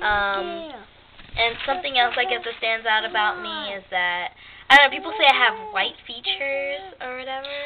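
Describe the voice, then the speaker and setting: A squeaky voice with lively intonation and big swings in loudness. Noticeable background noise sits behind it. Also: woman, high pitch for a woman, moderate pace. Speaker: YouTuber. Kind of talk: casual chat. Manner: proper, no slang.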